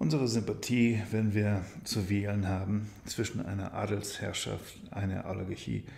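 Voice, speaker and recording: Somewhat breathy and fairly low in pitch, a man talks at a fairly slow pace with hardly any pauses and fairly even intonation. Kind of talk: bedtime story reading.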